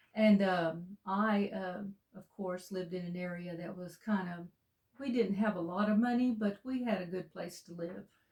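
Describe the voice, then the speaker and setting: A woman with an Alabama accent speaks at a moderate pace in a somewhat breathy, medium-pitched voice. Her intonation stays fairly even while her loudness swings widely. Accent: Southern US (Alabama). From US South, Alabama (Walker County). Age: 60s. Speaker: co-host. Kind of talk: interview, casual conversation.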